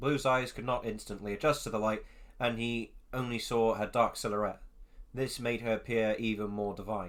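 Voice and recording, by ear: The intonation is fairly even. A person reads aloud in a natural voice.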